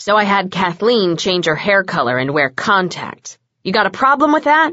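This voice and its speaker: A woman's put-on character voice at a medium pitch, with very wide pitch swings, at a moderate pace. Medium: read story. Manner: blunt, sarcastic.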